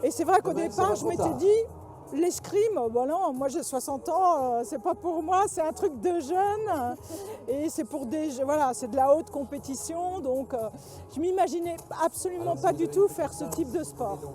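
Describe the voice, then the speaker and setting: Lively intonation at a fairly slow pace, over noticeable background noise. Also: woman, high pitch for a woman. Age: 60s. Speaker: breast cancer survivor, fencing club member. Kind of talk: interview testimony. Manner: hesitant, many fillers.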